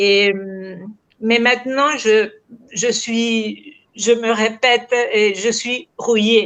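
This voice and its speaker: Speaking very slowly with a Spanish accent, a woman uses a fairly high pitch and fairly even intonation. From Uruguay, early school years in France. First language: Spanish (speaking French). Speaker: crime novelist. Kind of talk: literary interview. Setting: video call. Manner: halting, searching for words.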